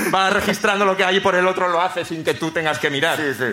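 A man's raised, projected voice with audible room echo and noticeable background noise. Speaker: comedian, screenwriter. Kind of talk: stand-up storytelling. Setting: stage with live audience.

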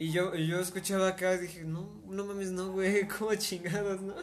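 With a Mexican accent, a man speaks at a moderate pace. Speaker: podcast host and singer. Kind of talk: casual chat. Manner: hesitant, many fillers.

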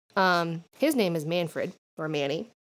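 A woman with a fairly low pitch speaks with lively intonation on a very clean recording with a silent background. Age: 20s. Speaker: podcast co-host, witchcraft and paganism. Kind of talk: casual chat. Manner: rambling, crude humor.

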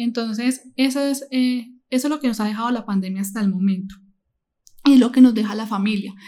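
A woman's high voice with ordinary pitch variation. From Colombia, Medellín. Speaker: nursing assistant and psychology student. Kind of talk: interview. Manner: halting.

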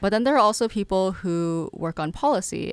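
In an American accent, a woman with a plain, everyday voice speaks at a moderate pace with ordinary pitch variation. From Massachusetts (Lowell). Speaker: student entrepreneur. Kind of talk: interview.

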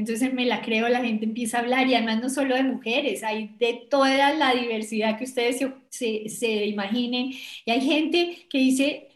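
A woman with a Bogotá accent speaks at a moderate pace, high-pitched with fairly even intonation. Room echo is audible. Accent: Bogotá Colombian Spanish. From Colombia, Bogotá. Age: 60s. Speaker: business executive and women's leadership advocate. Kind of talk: interview.

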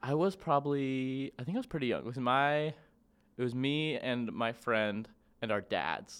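On a very clean recording with a silent background, a man in a plain, everyday voice speaks at a moderate pace and medium pitch with ordinary pitch variation. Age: 20s. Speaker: podcast guest. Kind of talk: casual chat.

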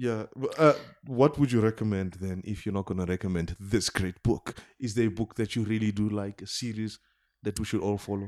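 In an ordinary speaking voice, a man speaks fairly quickly with a fairly low pitch and fairly even intonation, on a very clean recording with a silent background. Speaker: podcast host. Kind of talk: casual interview chat.

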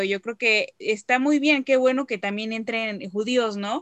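Fairly high in pitch, a woman with an ordinary speaking voice keeps her intonation fairly even in a dry, close sound with no echo. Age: 20s. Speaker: descendant promoting Holocaust memory. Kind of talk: interview.

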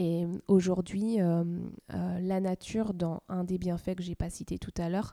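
On a very clean recording with a silent background, a woman speaks in a medium pitch and a dark, mellow tone at a moderate pace, her intonation monotone and flat. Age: 30s. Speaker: nursery founder and pediatric nurse. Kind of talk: interview.

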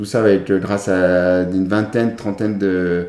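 The man's voice has a fairly low pitch and a dark, mellow tone. He keeps a moderate pace with fairly even intonation. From France, Chambéry (Savoie). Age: 30s. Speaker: para-athlete, former para swimmer. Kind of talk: interview. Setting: recorded at his home.

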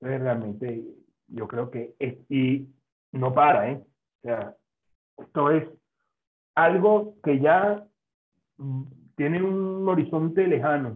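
Speaking at a very slow pace with long, frequent pauses, a man with a fairly high pitch uses lively intonation and big swings in loudness. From Venezuela. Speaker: food science professor. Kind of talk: interview.

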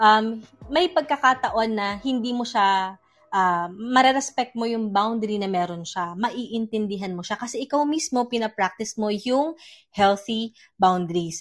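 In a normal speaking voice, a woman with fairly high pitch and ordinary pitch variation talks at a fairly slow pace against a quiet background. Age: 30s. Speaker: psychologist and audio show host. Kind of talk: live audio-room talk on mental health. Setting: live audio app room.

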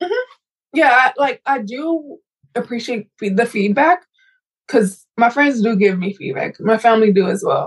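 The speech goes at a moderate pace with lively intonation. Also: woman, high pitch for a woman. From South Central Los Angeles, US. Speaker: runner and candle business owner. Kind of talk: casual interview chat.

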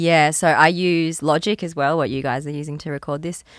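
A very deep, low-pitched woman's voice with an Australian accent, in a very clean recording with a silent background. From Queensland, Australia. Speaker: musician. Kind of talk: casual chat. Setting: studio.

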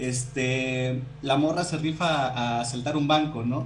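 The speaker's intonation is monotone and flat, heard with audible room echo and noticeable background noise. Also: man. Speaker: podcast co-host. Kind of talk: casual chat.

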